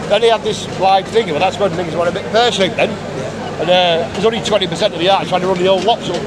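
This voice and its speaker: With an English accent, a man talks at a very fast pace in a high voice with fairly even intonation. Room echo is audible, along with crowd noise in the background. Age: 50s. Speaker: rally attendee, terminally ill. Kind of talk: street interview. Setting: outdoors at a rally.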